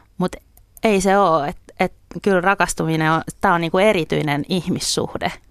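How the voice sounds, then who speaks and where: A woman at a fairly quick pace, fairly low in pitch, with fairly even intonation. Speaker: guest. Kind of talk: radio interview. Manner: halting, repeats words.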